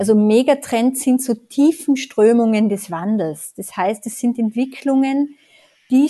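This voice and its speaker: Pitch moves in an ordinary way. A dark, mellow tone colors the voice. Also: woman. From Tyrol, Austria. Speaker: consultant and author. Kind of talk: interview conversation.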